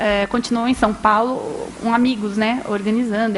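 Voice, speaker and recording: A woman talks at a fairly high pitch with fairly even intonation. Noticeable background noise sits behind her. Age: young. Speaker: journalist and radio historian. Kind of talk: public talk, storytelling. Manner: conversational, frequent fillers.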